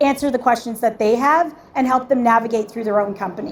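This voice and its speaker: A woman speaks loudly with fairly even intonation. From Canada. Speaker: tech startup founder and event host. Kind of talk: panel discussion.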